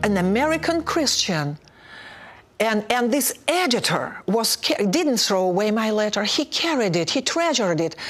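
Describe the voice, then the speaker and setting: A woman with a Russian accent speaks at a moderate pace in a fairly high voice, her pitch swinging very widely while her loudness stays very even. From Soviet Union (Russia). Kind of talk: testimony.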